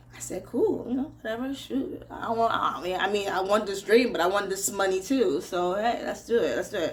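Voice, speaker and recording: The voice has lively intonation and an animated tone at a moderate pace. Room echo is audible. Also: woman. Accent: American. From Nigeria. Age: 40s. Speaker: radio presenter. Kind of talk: casual storytelling vlog.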